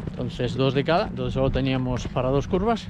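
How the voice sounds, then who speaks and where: A man speaks at a moderate pace with lively intonation. The sound is dry with no echo, yet noticeable background noise is present. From Spain. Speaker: motorsport video reporter. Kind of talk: casual on-location reporting. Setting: outdoors. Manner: animated. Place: open country. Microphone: phone near.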